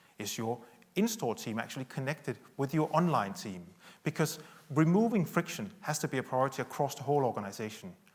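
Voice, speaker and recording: A man talks at a fairly quick pace in a Danish accent. His fairly high, somewhat breathy voice makes very wide pitch swings. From Denmark. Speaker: tech company executive. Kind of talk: conference keynote talk. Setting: stage with audience.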